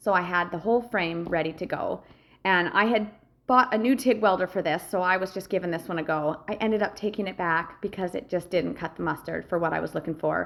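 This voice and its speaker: With vocal fry and ordinary pitch variation, a woman speaks at a medium pitch and a fairly quick pace. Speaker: welder and metal fabricator. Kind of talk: voice-over narration of a project video. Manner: casual, some hesitations and filler words.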